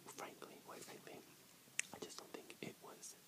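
Loud background noise sits behind a man speaking. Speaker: ASMR creator. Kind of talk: casual vlog chat. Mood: earnest, personal, reflective. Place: home room. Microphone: earbuds.

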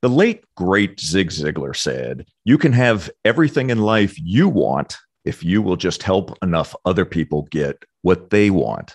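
In a dry, close recording with no echo, a man speaks at a fairly slow pace with hardly any pauses, his very deep, low voice showing vocal fry and very wide pitch swings. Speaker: podcast host and business consultant. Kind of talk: interview conversation. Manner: energetic.

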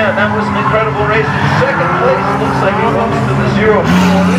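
Loud background noise runs under speech delivered at a moderate pace. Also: man. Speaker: track announcer. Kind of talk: race commentary. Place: stadium.

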